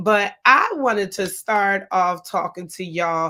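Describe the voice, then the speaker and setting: The recording is very clean, with a silent background. A woman speaks in a bright, sharp tone with ordinary pitch variation. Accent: American. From Newark, New Jersey. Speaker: podcast host. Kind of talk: motivational podcast talk. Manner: animated.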